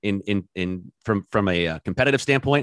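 A man with a West Coast accent, fairly low pitch and lively intonation, in a dry, close sound with no echo against a quiet background. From Oregon, US Pacific Northwest. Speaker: sports podcast host. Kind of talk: casual chat.

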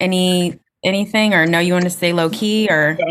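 A woman with an American accent, a normal speaking voice, medium pitch, fairly even intonation and a moderate pace. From North Carolina. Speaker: podcast host. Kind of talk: interview. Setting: video call.

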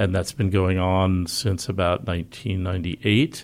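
A man speaks at a moderate pace in a very deep, low voice with ordinary pitch variation. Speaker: health reporter and author. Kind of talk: interview discussion. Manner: hesitant, filler-heavy.

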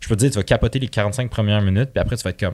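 On a very clean recording with a silent background, a man talks at a fairly low pitch with fairly even intonation. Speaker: entrepreneur. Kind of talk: casual chat. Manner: relaxed, soft.

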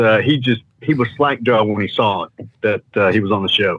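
A man speaks at a moderate pace with ordinary pitch variation. He has a medium pitch and a normal speaking voice. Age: 60s. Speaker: paralyzed athlete and motivational speaker. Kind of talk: testimony.

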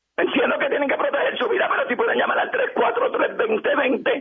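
Over noticeable background noise, a man speaks in an animated tone at an extremely high pitch, moderate in pace, with very wide pitch swings. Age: 60s. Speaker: community leader. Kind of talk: radio interview.

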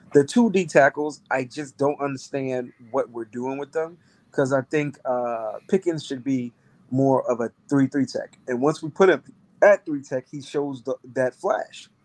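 A man with an unremarkable speaking voice and fairly high pitch talks fairly slowly with ordinary pitch variation, in a dry, close sound with no echo. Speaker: football analyst. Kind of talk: casual sports discussion.

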